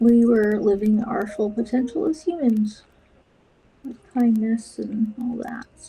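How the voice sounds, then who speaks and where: A soft-spoken woman mumbles at a fairly slow pace, her loudness swinging widely. Her voice is fairly high, with ordinary pitch variation. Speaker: counselor and artist streaming a body doubling session. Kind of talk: casual live-stream chat while painting. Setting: live video stream. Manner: mumbling.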